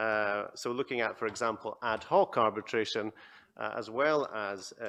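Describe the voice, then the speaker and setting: A man with a Scottish accent speaks at a moderate pace in a fairly low pitch, his tone bright and sharp, over a quiet background. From Scotland. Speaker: panel moderator, arbitration centre chief executive. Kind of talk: conference panel moderation. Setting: conference stage with audience.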